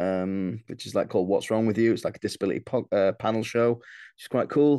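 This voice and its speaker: Very fast speech from a man with a Yorkshire accent, medium pitch and a dark, mellow tone, against a quiet background. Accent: Yorkshire northern English. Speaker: comedian. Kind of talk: casual chat.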